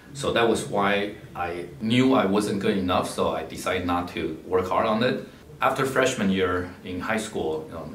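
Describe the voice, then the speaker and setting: With a very deep, low pitch and ordinary pitch variation, a man speaks at a moderate pace amid light background noise and audible room echo. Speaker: philanthropist and scholarship donor, MBA graduate. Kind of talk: personal talk about life story and advice. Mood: calm, reflective storytelling. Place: office.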